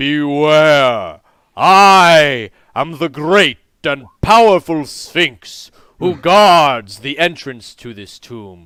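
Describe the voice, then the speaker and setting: In a put-on character voice, a man speaks very slowly at a fairly high pitch, in a very clean recording with a silent background. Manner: commanding, grand.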